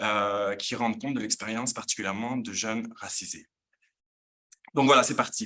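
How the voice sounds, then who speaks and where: A man at a medium pitch, fairly quick, with a bright, sharp tone. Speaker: professor. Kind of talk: lecture. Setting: conference room with in-person and online audience. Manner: hesitant, many fillers.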